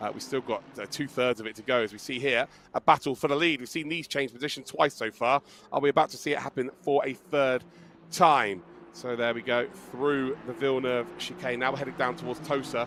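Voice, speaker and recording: A man talks at a fairly quick pace. His medium-pitched voice has vocal fry. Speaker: esports race commentator. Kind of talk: live commentary. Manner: animated.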